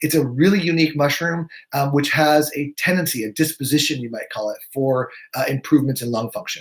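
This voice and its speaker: A man with a fairly high, somewhat breathy voice is speaking. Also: ordinary pitch variation, fairly quick pace. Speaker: naturopathic physician. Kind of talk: live webinar presentation. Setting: live video stream. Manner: fast.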